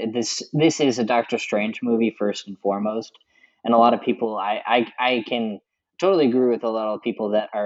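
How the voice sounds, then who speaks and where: A man with an unremarkable speaking voice, medium pitch, and moderate pace. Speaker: guest film fan. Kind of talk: casual chat.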